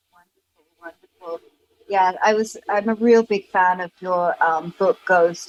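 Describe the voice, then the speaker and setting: With a British accent, a woman talks at a fairly slow pace and a medium pitch, the sound dry and close with no echo. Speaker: podcast host. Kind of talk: podcast interview.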